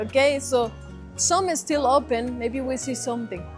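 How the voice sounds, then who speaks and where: With music in the background, a woman speaks at a moderate pace with a Colombian accent. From Eastern Antioquia, Colombia. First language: Spanish. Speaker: relocation consultant. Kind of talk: casual walking tour talk.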